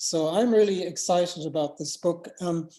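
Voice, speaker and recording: Woman with an Irish accent, fairly low pitch and a dark, mellow tone, at a moderate pace. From Ireland. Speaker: panel speaker. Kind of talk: panel speech at a virtual book launch.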